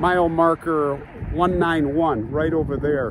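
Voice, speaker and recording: Recorded with dry sound and no echo but noticeable background noise, a man speaks with ordinary pitch variation. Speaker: vlogger. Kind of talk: casual vlog chat. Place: open country. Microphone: phone near.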